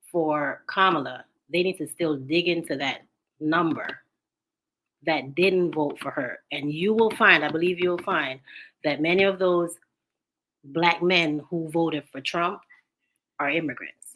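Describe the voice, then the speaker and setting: A woman's fairly low voice with a Jamaican accent, fairly slow pace, fairly even intonation, and long, frequent pauses. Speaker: talk show co-host. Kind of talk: casual discussion.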